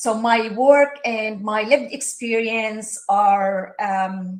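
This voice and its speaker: Fairly high-pitched woman's voice with an Arabic accent and ordinary pitch variation. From Palestine. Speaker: social work professor. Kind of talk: interview. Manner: halting, many fillers.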